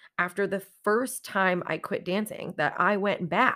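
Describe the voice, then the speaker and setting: A woman talks in an ordinary speaking voice at a medium pitch. Her pace is fairly slow, on a very clean recording with a silent background. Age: 30s. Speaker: podcast host, exotic dancer and pole instructor. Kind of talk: personal storytelling monologue.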